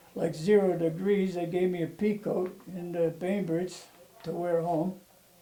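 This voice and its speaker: A man with a high-pitched voice speaks in a flat monotone over noticeable background noise. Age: 90s. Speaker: war veteran. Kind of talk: oral history interview. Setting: at home.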